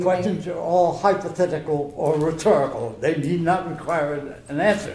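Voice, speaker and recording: A man talks at a moderate pace in a high pitch. Noticeable background noise runs behind him. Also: fairly even intonation. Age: 80s+. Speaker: war veteran. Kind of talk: courtroom testimony.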